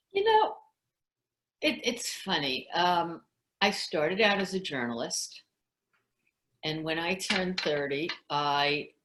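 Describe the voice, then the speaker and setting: This woman speaks very slowly with a New York accent. Her pitch is fairly low. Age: 60s. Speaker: former journalist and salesperson. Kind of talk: interview.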